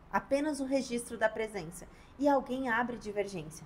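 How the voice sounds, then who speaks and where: A woman speaks at a high pitch. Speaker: labor lawyer. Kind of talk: tutorial. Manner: varied pace and volume.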